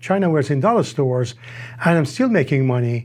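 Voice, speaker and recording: A man with a non-native accent, lively intonation and a fairly quick pace. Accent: foreign. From Iran. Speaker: tableware importer. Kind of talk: interview answers. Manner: halting, hesitant.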